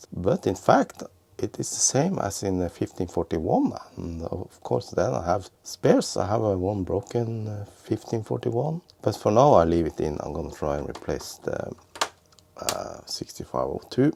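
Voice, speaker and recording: Over noticeable background noise, a man with a fairly low pitch talks at a moderate pace, his voice making very wide pitch swings. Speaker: retro computer repair youtuber. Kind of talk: tutorial. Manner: halting.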